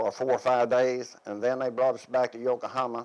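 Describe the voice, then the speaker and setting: The speaker has a Tennessee accent. The pace is moderate. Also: man. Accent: US Southern, Tennessee. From Tennessee, Van Buren County. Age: 70s. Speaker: war veteran. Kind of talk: oral history interview. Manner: halting.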